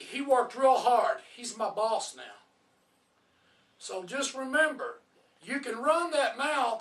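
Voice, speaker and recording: A man speaks very slowly at an extremely high pitch, with long, frequent pauses. His loudness swings widely while his pitch varies in an ordinary way. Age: 60s. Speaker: professional wrestler. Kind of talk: casual chat. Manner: animated.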